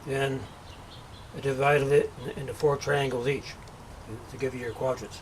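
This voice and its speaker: A man speaks in a flat monotone with long, frequent pauses over noticeable background noise. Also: fairly high pitch for a man, moderate pace. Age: 50s. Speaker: DIY builder. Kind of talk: tutorial. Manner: halting.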